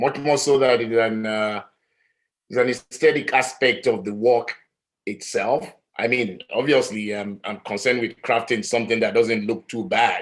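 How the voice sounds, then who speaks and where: A man with an African accent, medium-pitched, at a moderate pace with fairly even intonation. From Nigeria. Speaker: artist. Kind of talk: panel discussion. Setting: live-streamed talk.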